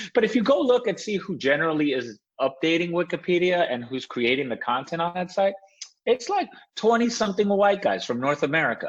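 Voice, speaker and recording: Speaking at a fairly quick pace, a man with a high pitch lets it swing very widely. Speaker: privacy expert. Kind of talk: podcast interview.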